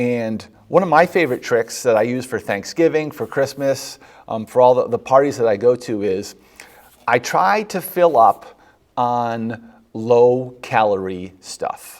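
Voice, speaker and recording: Talking at a fairly slow pace, a man has an unremarkable speaking voice at a medium pitch. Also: ordinary pitch variation. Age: 50s. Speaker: physician hosting a health show. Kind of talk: health advice talk. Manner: conversational with many fillers.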